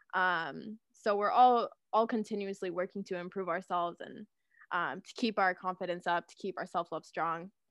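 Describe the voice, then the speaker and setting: In a normal speaking voice, a woman with a Canadian accent and a medium pitch speaks at a moderate pace with fairly even intonation and big swings in loudness. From Canada, Guelph, Ontario. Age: 20s. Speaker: podcast host. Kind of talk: casual chat.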